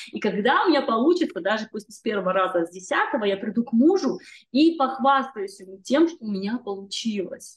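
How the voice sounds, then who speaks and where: A woman with a fairly high, somewhat breathy voice speaks at a fairly quick pace, her pitch swinging very widely and her loudness rising and falling sharply. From northern Kazakhstan. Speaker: magazine editor and singer. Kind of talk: casual interview chat.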